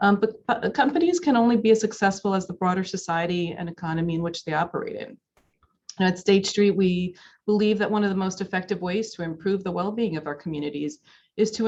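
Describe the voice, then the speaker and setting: Speaking fairly quickly, a woman uses a plain, everyday voice at medium pitch with ordinary pitch variation. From US, daughter of Dominican immigrants. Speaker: corporate executive. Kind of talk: keynote speech. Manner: many filler words (um, uh, you know).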